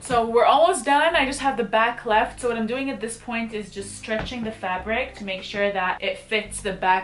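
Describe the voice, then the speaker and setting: Amid noticeable background noise, a woman speaks at a moderate pace in a fairly high voice with lively intonation. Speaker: lifestyle YouTuber. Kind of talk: DIY tutorial. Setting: outdoors in backyard.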